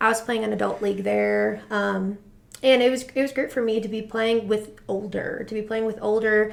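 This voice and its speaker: This woman has an American accent. She talks at a fairly quick pace. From Rhode Island, US Northeast. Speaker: high school soccer coach. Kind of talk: interview. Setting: studio. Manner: fast.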